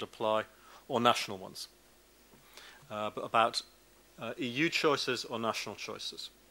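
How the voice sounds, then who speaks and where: A man's bright, sharp voice with a British accent at a fairly quick pace. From Britain. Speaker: law professor. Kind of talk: academic lecture. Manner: fast.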